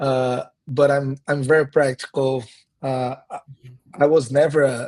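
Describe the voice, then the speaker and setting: At a fairly slow pace, a man with a fairly high pitch speaks in a monotone, flat way, recorded in a dry, close sound with no echo. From Brazil (countryside). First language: Portuguese. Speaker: pastor and missionary. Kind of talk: casual interview conversation. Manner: halting, with repeated words.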